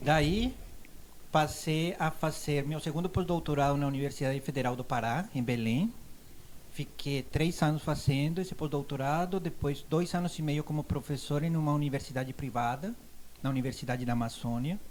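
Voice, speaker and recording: A man with a Colombian accent talks at a moderate pace and fairly high pitch, with ordinary pitch variation. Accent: foreign accent in Portuguese, Colombian. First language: Spanish (speaking Portuguese). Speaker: university professor. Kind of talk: casual interview.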